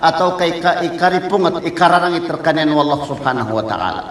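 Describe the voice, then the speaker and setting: The speech comes at a very fast pace. Noticeable background noise and audible room echo surround it. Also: man. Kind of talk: sermon.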